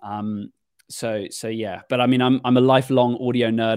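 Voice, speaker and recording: In a British accent, a man speaks with monotone, flat intonation. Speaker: podcast production agency owner. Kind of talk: interview. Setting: video call.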